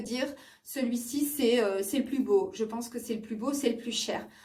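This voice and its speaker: Heard with audible room echo, a woman's somewhat breathy voice moves at a moderate pace with ordinary pitch variation. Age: 40s. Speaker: beauty vlogger. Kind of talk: product review vlog. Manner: hesitant, many fillers.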